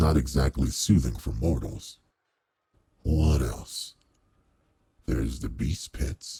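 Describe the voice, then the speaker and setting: A put-on character voice from a man, pitched very deep and low, delivered fairly slowly. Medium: solo performance. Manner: formal, measured, commanding.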